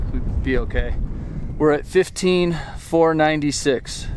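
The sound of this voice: Clear background noise accompanies a man speaking at a medium pitch.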